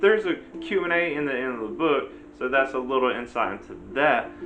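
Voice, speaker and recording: Talking at a fairly quick pace, a man speaks with an American accent. Noticeable background noise and audible room echo surround him. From US South, Virginia small town. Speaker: book reviewer, YouTuber. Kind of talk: casual book review. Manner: casual, hesitant with fillers.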